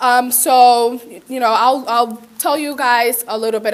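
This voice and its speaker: A woman speaks at a moderate pace with fairly even intonation, and background noise is noticeable. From Puerto Rico. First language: Spanish. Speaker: community college student. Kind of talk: conference presentation, personal testimony. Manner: casual, many fillers.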